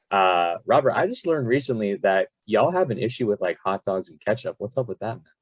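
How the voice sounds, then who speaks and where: A man with an American accent talks at a very fast pace in an animated tone, with a dry, close sound and no echo. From South Florida. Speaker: podcast host and fitness coach. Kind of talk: casual podcast interview.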